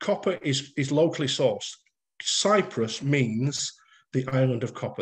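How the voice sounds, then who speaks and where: Somewhat breathy, fairly slow speech in a Lancashire accent against a quiet background. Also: man. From northern England, Bolton; northern England. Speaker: author and masonic lecturer; masonic lecturer. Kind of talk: lecture. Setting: video call. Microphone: video call.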